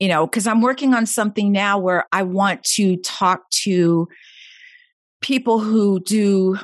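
The speaker is a woman. The background is quiet. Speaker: veteran and podcast host. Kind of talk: casual interview chat. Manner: calm, meditative.

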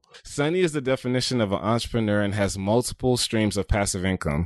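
The man's voice is fairly low. He talks at a fairly quick clip. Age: young. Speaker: podcast host. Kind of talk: interview.

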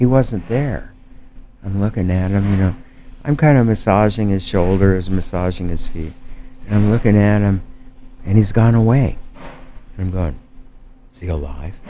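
Music plays behind a man with a fairly low voice and ordinary pitch variation whose loudness swings widely and who leaves long, frequent pauses. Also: moderate pace. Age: 70s. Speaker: artist and mezcal producer. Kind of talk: casual chat. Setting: basement of a bar.

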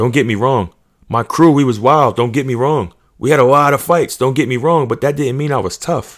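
In a very clean recording with a silent background, a man talks in an animated tone at medium pitch, with ordinary pitch variation and a moderate pace. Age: 30s. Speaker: podcast host. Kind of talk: casual monologue.

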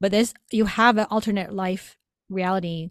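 A woman talks in an ordinary speaking voice, medium in pitch and moderate in pace, with fairly even intonation. The sound is dry and close, with no echo. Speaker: psychic medium. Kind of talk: live psychic readings on a call-in show. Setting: video call.

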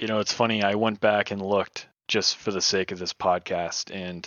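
Speaking in a flat monotone, a man with an American accent keeps his pitch fairly low. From New Hampshire, US. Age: 20s. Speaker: graphic designer and hardcore musician. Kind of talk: casual chat.

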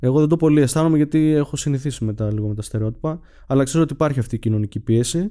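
The tone is dark and mellow, with ordinary pitch variation. The pace is very fast. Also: man, fairly high pitch for a man. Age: 20s. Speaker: podcast guest sharing therapy story. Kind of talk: personal testimony in interview. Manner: hesitant, many fillers.

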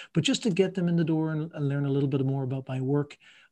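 Very fast and somewhat breathy, a man speaks with a fairly high pitch, ordinary pitch variation and a dark, mellow tone. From Ireland. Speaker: coach and marathon runner. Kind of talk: interview conversation. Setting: video call from France.

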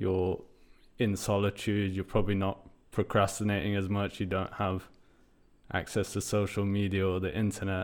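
A man speaks in a flat monotone at a fairly low pitch, with long, frequent pauses. The recording is very clean, with a silent background. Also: moderate pace. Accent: British. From UK, British Iranian. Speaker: podcast host. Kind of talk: casual interview chat; scripted narration.

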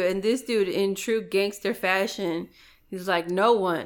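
A woman with a Chicago accent, medium pitch, fairly even intonation and a fairly slow pace, on a very clean recording with a silent background. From Chicago, Back of the Yards. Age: 30s. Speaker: former paramedic. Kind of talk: casual chat.

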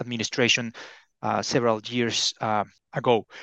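In a dry, close sound with no echo and a quiet background, a man speaks in a Spanish accent. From Mexico. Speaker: China economics expert. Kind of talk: podcast interview.

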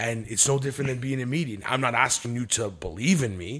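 A man talks at a fairly quick pace with ordinary pitch variation and a normal speaking voice. The recording is very clean, with a silent background. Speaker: business executive and medium. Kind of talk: casual chat.

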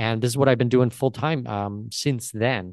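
A man with a Canadian accent speaks at a fairly quick pace in an ordinary speaking voice, medium in pitch with ordinary pitch variation. The sound is dry and close with no echo, and the background is quiet. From Canada, Southwestern Ontario. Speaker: entrepreneur and traveller. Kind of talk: casual interview chat.

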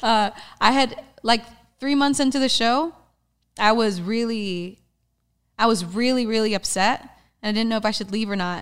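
There are long, frequent pauses as a woman talks at a moderate pace. Her pitch is fairly high, with ordinary variation. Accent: American. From Texas. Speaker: stuntwoman. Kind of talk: casual interview chat.

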